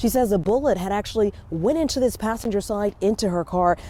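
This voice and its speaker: Noticeable background noise sits behind a woman with an American accent talking very fast at a medium pitch with ordinary pitch variation. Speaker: TV news anchor and field reporter. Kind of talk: broadcast news anchoring and live field reporting. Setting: outdoors, live on-scene field report.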